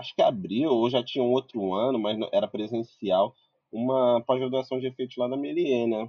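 The man has an unremarkable speaking voice at medium pitch, talking at a moderate pace with a dry, close sound and no echo. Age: 20s. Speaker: visual effects compositor. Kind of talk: casual chat. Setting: live video stream.

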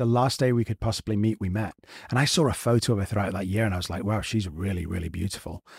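A very fast, somewhat breathy man's voice at a fairly low pitch, in a very clean recording with a silent background. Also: ordinary pitch variation, dry, close sound with no echo. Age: 40s. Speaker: actor and podcast co-host. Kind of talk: casual interview chat.

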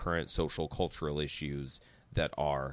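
Vocal fry colors a man's very deep, low voice, and his intonation stays fairly even. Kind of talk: casual conversation.

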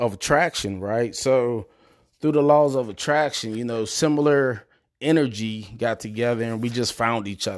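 A man with an American accent speaks at a fairly slow pace in a plain, everyday voice, his pitch medium and its variation ordinary, on a very clean recording with a silent background. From Prince George's County, Maryland. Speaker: podcast host, military service member. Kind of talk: solo motivational podcast monologue. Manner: casual, conversational.

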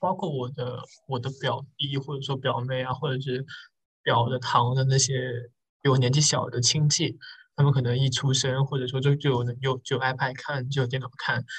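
Here a man talks at a moderate pace and a medium pitch. His voice comes across as somewhat breathy. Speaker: podcast host. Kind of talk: casual chat.

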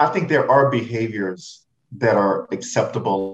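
With an American accent, a man talks in a somewhat breathy way. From Houston, Texas (Third Ward). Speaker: diversity and inclusion director. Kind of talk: interview.

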